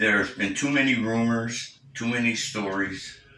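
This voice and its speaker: Against noticeable background noise and audible room echo, a man speaks at a medium pitch with fairly even intonation. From Cape Breton, Nova Scotia, Canada. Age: 60s. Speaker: senior making a personal statement. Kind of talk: personal testimony. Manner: halting, with many fillers.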